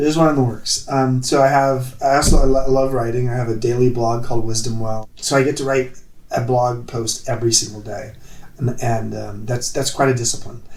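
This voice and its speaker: Noticeable background noise and audible room echo surround a man speaking at medium pitch and a moderate pace. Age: 60s. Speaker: author and former hotelier. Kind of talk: interview.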